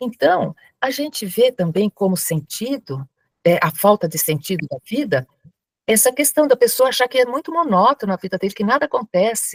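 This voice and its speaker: The voice moves at a moderate pace with very wide pitch swings, recorded dry and close with no echo. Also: woman, fairly high pitch for a woman. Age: 70s. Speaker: spiritist lecturer and crisis-line volunteer. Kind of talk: lecture.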